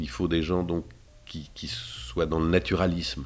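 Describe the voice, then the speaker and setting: A man with vocal fry and a very deep, low pitch talks at a moderate pace. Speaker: voice actor. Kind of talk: interview.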